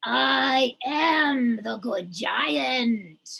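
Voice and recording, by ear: A put-on character voice, female-sounding and gravelly, sits at a fairly high pitch and moves in very wide pitch swings.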